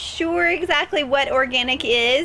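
A woman's high-pitched voice over light background noise. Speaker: local TV interviewer. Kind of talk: interview hosting, presenter talk. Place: garden.

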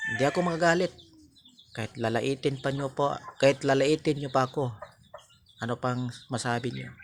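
Long, frequent pauses break up fairly even intonation against noticeable background noise. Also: man, medium pitch for a man. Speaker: video blogger. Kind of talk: monologue to camera, moral advice.

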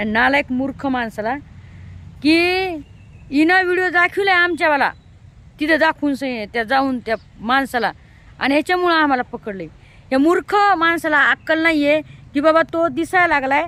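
A woman with a high pitch, an animated, bright and sharp tone, and ordinary pitch variation is speaking. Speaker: vlogger. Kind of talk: vlog monologue.

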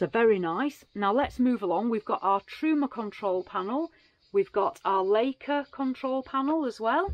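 Against a quiet background, a woman speaks at a moderate pace, the sound dry with no echo. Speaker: vehicle reviewer. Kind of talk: casual vlog walkthrough. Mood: upbeat, enthusiastic. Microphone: phone near.

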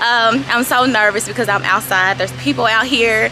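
Music plays in the background. A woman talks over it at a moderate pace. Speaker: vlogger. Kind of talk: casual vlog chat. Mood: nervous but upbeat.

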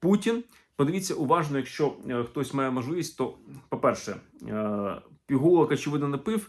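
An animated man's fairly high voice, moderately paced, with lively intonation and long, frequent pauses. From Ukraine. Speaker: historian and video blogger. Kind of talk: video commentary.

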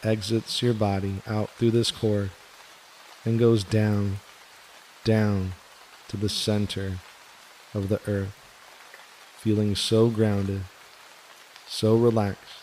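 This man talks very slowly in a fairly low, flat monotone with a soothing tone. Noticeable background noise runs under his voice. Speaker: meditation guide. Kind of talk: guided meditation. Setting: studio with gentle rain background sound. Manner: slow, soothing.

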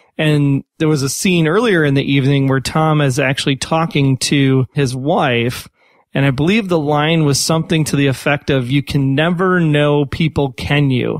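In an unremarkable speaking voice, a man with an American accent talks at a moderate pace with very even loudness and ordinary pitch variation, the very clean recording dry and close with no echo over a silent background. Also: fairly high pitch for a man. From Chicago. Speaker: podcast host. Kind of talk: casual chat.

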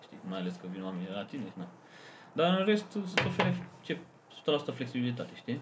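Amid noticeable background noise, a man with a medium pitch talks at a fairly quick pace with long, frequent pauses, very wide pitch swings and big swings in loudness. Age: 20s. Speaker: software developer. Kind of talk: casual chat.

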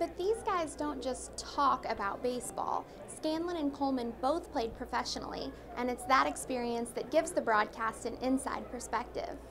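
Speaking at a moderate pace, a woman with a high pitch and lively intonation is heard over noticeable background noise. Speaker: TV/news reporter. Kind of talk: news feature reporter voiceover.

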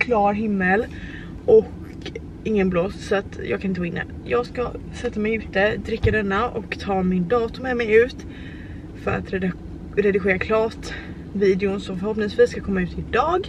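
A woman at a moderate pace with long, frequent pauses and ordinary pitch variation, in a dry sound with no echo and noticeable background noise. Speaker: vlogger. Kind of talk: casual vlog chat. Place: car. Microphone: phone near.

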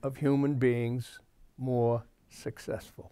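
Against a quiet background, a man with an American accent speaks very slowly at a fairly high pitch. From Massachusetts, US. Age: 70s. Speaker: talk show host. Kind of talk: political commentary monologue. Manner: rambling, with frequent fillers. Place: studio. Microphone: lapel.

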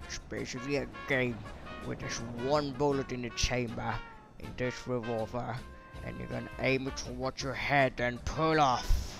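Clear music plays in the background. A man performs a put-on character voice at medium pitch and a moderate pace. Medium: machinima. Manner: condescending.

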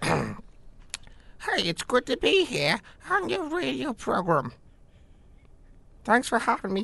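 A put-on character voice, fairly high in pitch, at a very slow pace with long, frequent pauses

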